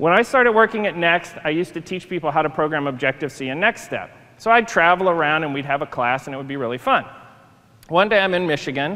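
A man talks at a very fast pace. His tone is bright and sharp. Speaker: conference speaker. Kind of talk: lecture. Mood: playful, humorous. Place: stage.

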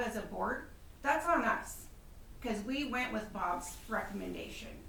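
A woman's loud, high-pitched voice comes at a fairly slow pace, with audible room echo and noticeable background noise. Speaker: city council member. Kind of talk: public meeting debate.

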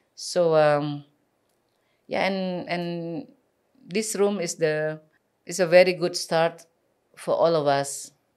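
In an Indonesian accent, a woman speaks at a very slow pace with long, frequent pauses. Her pitch is fairly low with ordinary variation, against a quiet background. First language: Balinese. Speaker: community advocate; podcast guest. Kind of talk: interview. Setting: studio. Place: studio. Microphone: studio mic.

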